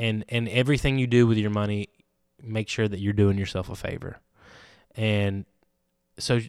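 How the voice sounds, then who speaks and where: Over a very clean recording with a silent background, a speaker with a Southern US accent keeps fairly even intonation and leaves long, frequent pauses. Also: man. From Alabama, Andalusia. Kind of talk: casual chat.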